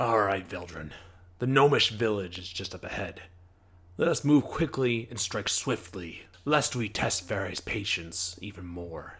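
A man's fairly low voice at a moderate pace, lively in intonation, with big swings in loudness. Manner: grave, weary, quietly sincere.

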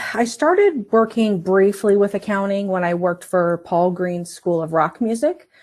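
In a plain, everyday voice, a woman speaks with ordinary pitch variation. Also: hardly any pauses. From Northern Virginia. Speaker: accounting manager. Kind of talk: interview.

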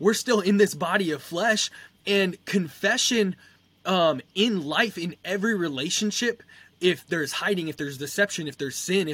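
A man with a high voice speaks at a fairly slow pace, his pitch rising and falling in an ordinary way. His tone is bright and sharp, and the recording is very clean with a silent background. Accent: American. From Southern California. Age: 20s. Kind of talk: casual religious discussion. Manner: halting.

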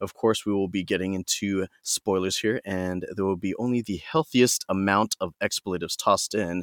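A man's unremarkable speaking voice at a fairly quick pace, on a very clean recording with a silent background. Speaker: podcast host. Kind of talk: casual chat. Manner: casual, profane.

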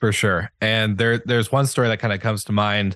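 Against a quiet background, a man with an ordinary speaking voice talks at a fairly quick pace and fairly low pitch. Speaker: hospitality podcast founder. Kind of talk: casual interview conversation. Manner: conversational, filler-heavy.

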